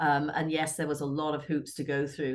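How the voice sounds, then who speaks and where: This woman has a very deep, low voice and an English accent. She speaks at a moderate pace. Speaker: realtor and real estate board president. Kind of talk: radio interview. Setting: radio studio.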